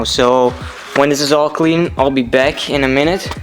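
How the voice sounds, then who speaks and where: Over music in the background, a man speaks at a moderate pace with monotone, flat intonation. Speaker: car hobbyist vlogger. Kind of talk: casual vlog tutorial.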